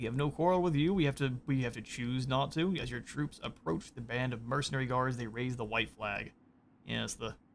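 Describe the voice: The text is read aloud plainly. Pitch shifts in a normal manner.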